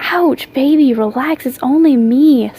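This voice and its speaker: A woman speaks in a high, put-on character voice. Her pace is fairly slow. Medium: read story. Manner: growling, snarling.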